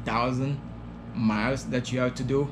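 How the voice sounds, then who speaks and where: A man with a French accent, medium pitch and a moderate pace, with audible room echo. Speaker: trucking trainee vlogger. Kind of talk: casual vlog. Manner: halting, many fillers.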